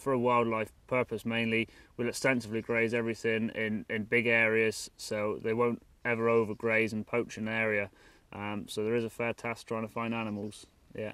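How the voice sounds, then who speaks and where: A man with a West Country accent talks at a moderate pace and a medium pitch. His intonation is flat and monotone. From Dorset, England. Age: 20s. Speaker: stockman. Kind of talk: casual explanation on location. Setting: outdoors and in a barn. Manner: halting.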